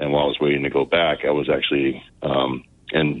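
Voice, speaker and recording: This man has a very deep, low voice and an American accent. Background noise is noticeable. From New Jersey, US. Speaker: congressional candidate. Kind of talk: radio interview.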